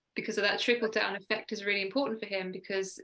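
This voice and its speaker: A woman speaks with a southern English accent in a fairly high pitch. Her tone is bright and sharp, and her intonation fairly even. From southern England (Sussex). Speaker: mindset coach. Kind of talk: radio interview. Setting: video call.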